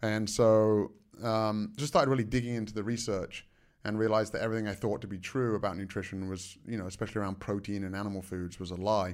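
Speaking at a very fast pace with an American accent, a man uses a fairly low pitch and fairly even intonation on a very clean recording with a silent background. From England. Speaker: martial artist and nutrition researcher. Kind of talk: interview.

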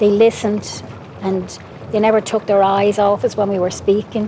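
A woman speaks with an Irish accent at a moderate pace. Her intonation is monotone and flat, with noticeable background noise behind her. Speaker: mother of a witness. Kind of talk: testimony.

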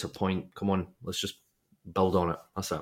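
A man speaks with a Dundee accent. His pitch is fairly low and his pace moderate. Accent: Scottish (Dundee). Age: 30s. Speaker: football podcast co-host. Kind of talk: casual chat.

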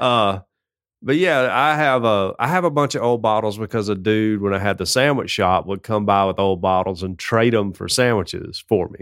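On a very clean recording with a silent background, a speaker with a Southern US accent talks at a moderate pace with ordinary pitch variation. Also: man, fairly low pitch for a man. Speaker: podcast co-host. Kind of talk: casual chat. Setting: studio.

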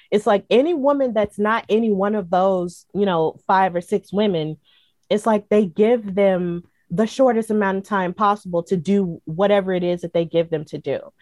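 At a moderate pace, a woman with an American accent speaks at a medium pitch with ordinary pitch variation, the sound dry and close with no echo. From US South. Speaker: wrestling podcaster and commentator. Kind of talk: interview. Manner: frequent filler words.

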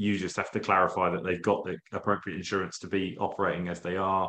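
At a fairly quick pace, a man talks in a normal speaking voice. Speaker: podcast host. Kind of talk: casual interview. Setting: video call.

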